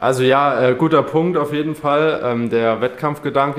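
Over noticeable background noise, a man's voice comes through. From Saarland, Germany. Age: 20s. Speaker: triathlete and student. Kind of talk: interview. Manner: hesitant, many fillers.

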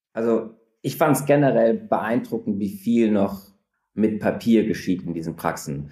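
A man speaks at a fairly slow pace with lively intonation. His tone is dark and mellow. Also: medium pitch for a man. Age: 30s. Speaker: startup founder. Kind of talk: interview.

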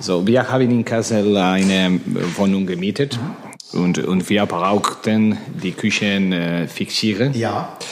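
A man with a fairly low pitch speaks very slowly, with ordinary pitch variation. Noticeable background noise runs underneath. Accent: Spanish. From Spain. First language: Spanish (speaking German). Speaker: handball coach. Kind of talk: interview. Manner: halting.

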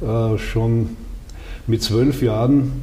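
Noticeable background noise and audible room echo accompany a man talking at a medium pitch. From Austria, Styria (Judenburg). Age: 80s+. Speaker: retired politician, former minister. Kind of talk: interview. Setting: office in the state parliament building.

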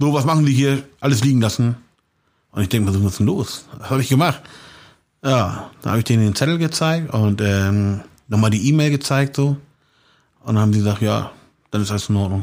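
At a fairly quick pace, a man speaks with long, frequent pauses. His pitch is medium, with ordinary variation. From Hamburg, St. Pauli. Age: 40s. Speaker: street art painter. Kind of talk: interview. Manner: casual, many fillers.

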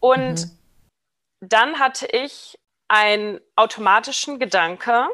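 A woman speaks at a very slow pace in a fairly high pitch, her bright, sharp tone carried by lively intonation. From international upbringing, New York and Berlin. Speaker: behavioral genetics researcher. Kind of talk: casual interview. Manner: halting, many fillers.

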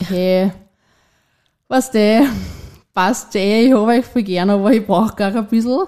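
A woman talks at a fairly quick pace with a dark, mellow tone. The recording is very clean with a silent background. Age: 20s. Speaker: young mother sharing her story. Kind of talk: personal testimony in a conversation. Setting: at a host's home, around a table.

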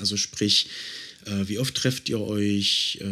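Speaking very slowly, this man uses a fairly deep voice. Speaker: podcast host. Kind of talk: interview. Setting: home office.

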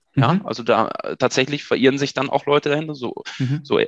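Using a plain, everyday voice, a man of medium pitch speaks at a fairly quick pace with a dry, close sound with no echo. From Germany, Münsterland (Ahaus). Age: 30s. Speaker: PR manager. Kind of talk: casual interview.

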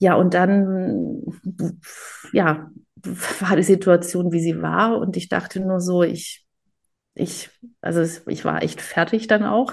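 The voice carries vocal fry and ordinary pitch variation. It moves at a very slow pace with long, frequent pauses. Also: woman, fairly low pitch for a woman. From Germany, Greek family. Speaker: photographer and cookbook author. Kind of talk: interview.

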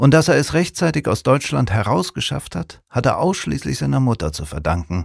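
Over a silent background in a very clean recording, a man of medium pitch speaks at a moderate pace in a calm, warm tone with vocal fry and very wide pitch swings. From Kiel, northern Germany. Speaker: musician and reader. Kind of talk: literary audiobook reading of a portrait. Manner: calm, measured, warm storytelling pace with a sober, empathetic tone.

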